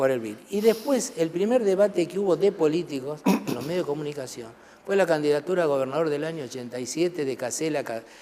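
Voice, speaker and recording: Over noticeable background noise, a man talks very fast with lively intonation and a fairly high pitch. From Argentina, Buenos Aires province interior (Trenque Lauquen). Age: 60s. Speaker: parliamentary secretary of a legislature. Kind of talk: TV interview.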